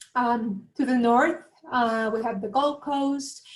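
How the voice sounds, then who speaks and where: Speaking very slowly with a Latin American accent, a woman keeps a high pitch and fairly even intonation. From Colombia, Bogota. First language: Spanish. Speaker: university recruitment manager. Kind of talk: webinar presentation. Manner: hesitant, many fillers.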